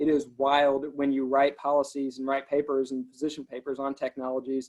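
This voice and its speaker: A man with a slight Alabama accent speaks fairly quickly at a fairly high pitch, in a monotone, flat way. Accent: faint coastal Alabama. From Alabama coast, US South. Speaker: government transportation policy official. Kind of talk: interview.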